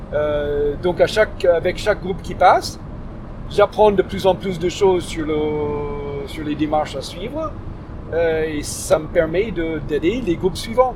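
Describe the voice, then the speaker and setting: Speaking very slowly in an English accent, a man with a high pitch and ordinary pitch variation is heard over noticeable background noise. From US, Detroit. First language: English (speaking French). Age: 50s. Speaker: volunteer host for refugees. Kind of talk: interview. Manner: halting, with frequent restarts.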